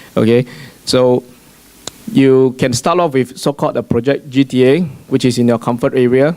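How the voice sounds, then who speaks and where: A man talks at a fairly quick pace and medium pitch, with noticeable background noise behind him. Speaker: real estate agent. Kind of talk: panel discussion. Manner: fast.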